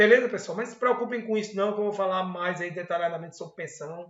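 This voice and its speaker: A man with fairly even intonation. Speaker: university accounting professor. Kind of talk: online lecture / tutorial. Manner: fast; casual, conversational.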